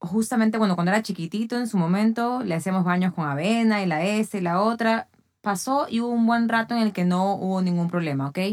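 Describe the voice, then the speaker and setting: A woman's plain, everyday voice at medium pitch with ordinary pitch variation, on a very clean recording with a silent background. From Ecuador. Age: 40s. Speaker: athlete and fitness trainer. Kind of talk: casual chat.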